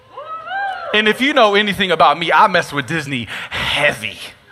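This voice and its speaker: A man's animated tone at a moderate pace, with noticeable background noise. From East Texas. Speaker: pastor. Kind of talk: sermon. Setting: venue with live audience.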